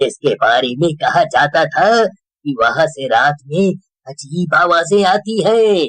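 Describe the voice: A cartoonish character voice from a man, high-pitched, at a fairly slow pace, with lively intonation and a dry, close sound with no echo.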